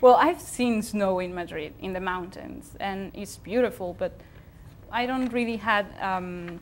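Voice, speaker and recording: A woman with a Spanish accent speaks at a fairly slow pace and medium pitch, with ordinary pitch variation and big swings in loudness. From Spain. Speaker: TV show co-host. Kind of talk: casual chat. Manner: halting.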